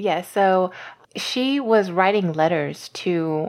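A woman with an American accent against a quiet background. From US South, Louisiana. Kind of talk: interview.

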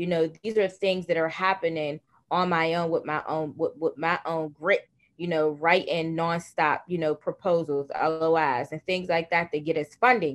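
Against a quiet background, a woman with an American accent uses a normal speaking voice, talking in a fairly low pitch at a moderate pace with fairly even intonation. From Pittsburgh, Pennsylvania. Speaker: nonprofit founder. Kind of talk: interview.

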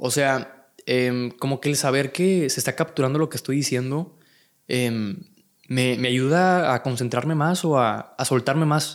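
The recording is very clean, with a silent background. A man with a medium pitch speaks at a fairly slow pace. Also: ordinary pitch variation. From Monterrey, Mexico. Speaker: content creator. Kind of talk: casual chat. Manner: calm, relaxed.

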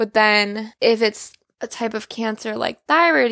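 With a fairly high pitch, a woman talks in a normal speaking voice, the sound dry and close with no echo. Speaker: thyroid cancer survivor and artist. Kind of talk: personal testimony.

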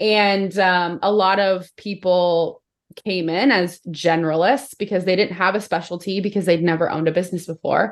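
At a moderate pace and very even loudness, a woman with an American accent speaks at a medium pitch with fairly even intonation, in a plain, everyday voice. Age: 30s. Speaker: business coach. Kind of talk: casual chat.

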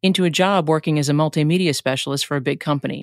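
At a fairly quick pace, a woman talks with a very deep, low pitch and ordinary pitch variation, in a dry, close sound with no echo on a very clean recording with a silent background. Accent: New York. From New York. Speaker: podcast host. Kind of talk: scripted solo podcast intro.

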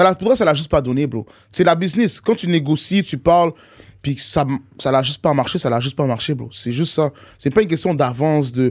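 Lively in intonation, a man with a fairly high pitch talks at a fairly quick pace in a normal speaking voice. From Montreal, Saint-Michel. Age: 20s. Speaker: rapper. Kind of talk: casual chat.

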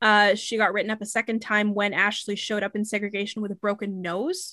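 The tone is bright and sharp, with fairly even intonation. The pace is very fast. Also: woman, quiet background. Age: 20s. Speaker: podcast host. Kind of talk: storytelling.

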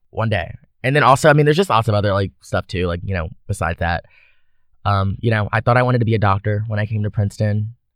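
With an American accent, a man speaks at a very fast pace in a fairly low pitch, with ordinary pitch variation. The sound is dry and close, with no echo. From US South (Baton Rouge, Louisiana). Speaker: university student. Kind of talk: casual interview chat.

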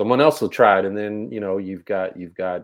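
A man with a very deep, low pitch talks at a fairly quick pace, with ordinary pitch variation. The recording is very clean, with a silent background. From Texas. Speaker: basketball coach and podcast co-host. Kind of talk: casual chat.

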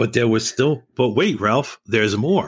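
A man with a New York accent speaks at a fairly quick pace. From New York City, East Harlem. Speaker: retired building manager and musician. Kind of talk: casual chat.

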